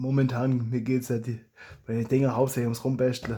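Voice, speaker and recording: A man with a Swabian accent speaks at a medium pitch in a dark, mellow tone. His voice is somewhat breathy, and his intonation is monotone and flat. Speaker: hobby blaster modder and YouTuber. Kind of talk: casual talk to camera.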